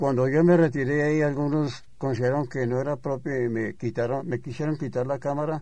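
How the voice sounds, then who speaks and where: A dark, mellow tone with ordinary pitch variation. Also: man. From Colombia, Bogotá. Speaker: press photographer. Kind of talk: interview. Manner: halting.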